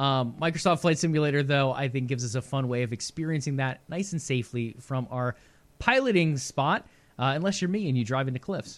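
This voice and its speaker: An unremarkable speaking voice from a man, fairly high in pitch with ordinary variation, at a fairly quick pace in a very clean recording with a silent background. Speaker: gaming news co-host. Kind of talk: casual chat.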